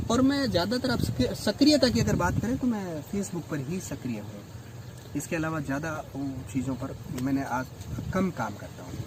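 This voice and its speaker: A man with a Rajasthani accent and a fairly high pitch uses very wide pitch swings over noticeable background noise. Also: moderate pace. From Rajasthan, India. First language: Rajasthani (speaking Hindi). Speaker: English lecturer and writer. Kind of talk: interview conversation.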